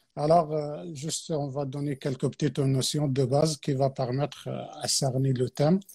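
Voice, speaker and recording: A man's fairly high, somewhat breathy voice with a dark, mellow tone and an Arabic accent, fairly even in intonation, with hardly any pauses and a dry, close sound with no echo. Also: moderate pace, very clean recording, silent background. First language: Arabic (speaking French). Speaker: Quran teacher. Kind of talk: religious talk on a live stream. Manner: hesitant, many fillers.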